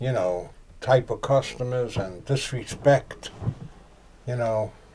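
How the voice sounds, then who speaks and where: Speaking very slowly in a New York accent, a man uses a medium pitch with ordinary variation and a dark, mellow, somewhat breathy tone. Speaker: tattoo artist. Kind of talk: casual chat.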